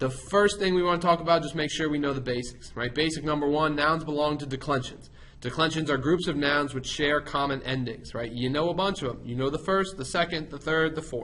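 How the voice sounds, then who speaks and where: A man's fairly high voice at a fairly quick pace, with ordinary pitch variation and audible room echo. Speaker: Latin teacher. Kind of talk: lecture. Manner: fast; casual.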